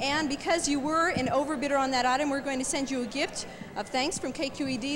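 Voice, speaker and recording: With an upbeat tone, a high-pitched woman speaks at a very fast pace over noticeable background noise. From United States. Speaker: radio DJ. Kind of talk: TV fundraiser auction presentation. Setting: television studio. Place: studio. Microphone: handheld.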